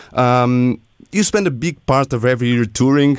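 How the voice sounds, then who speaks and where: With a Portuguese accent, a man talks at a medium pitch with lively intonation. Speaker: radio host. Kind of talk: interview.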